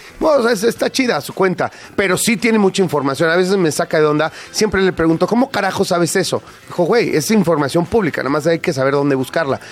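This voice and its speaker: A man's high-pitched, animated voice, very fast, with lively intonation, over noticeable background noise. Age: 50s. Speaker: radio host. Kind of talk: casual chat.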